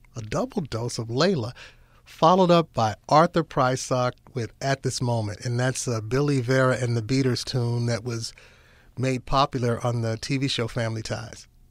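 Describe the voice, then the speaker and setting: The recording is very clean, and the background is silent. An unremarkable speaking voice proceeds at a moderate pace, its pitch varying in an ordinary way. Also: man, medium pitch for a man. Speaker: radio announcer. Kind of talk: radio DJ show hosting. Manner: relaxed, smooth.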